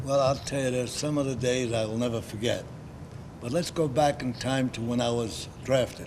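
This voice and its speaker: Noticeable background noise sits behind a man with a New York accent. He talks at a moderate pace in a medium pitch with fairly even intonation. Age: 90s. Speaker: war veteran. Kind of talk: interview. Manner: halting.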